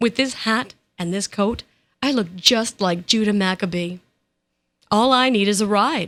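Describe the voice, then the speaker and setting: A female-sounding voice puts on a rumbling character voice at medium pitch and a moderate pace, with long, frequent pauses. The recording is very clean, with a silent background. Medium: read story. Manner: grumbling, sneering.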